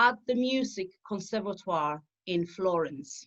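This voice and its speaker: A woman speaks with an Italian accent at a medium pitch. Her intonation is lively. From southern Italy. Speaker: opera singer. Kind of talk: interview. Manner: halting, many fillers.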